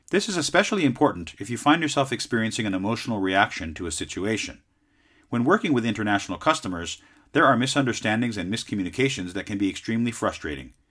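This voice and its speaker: With a Southern Californian accent, a man speaks at a very fast pace and medium pitch, his intonation lively. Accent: Southern California American. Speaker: podcast host and sales advisor. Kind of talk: scripted educational talk.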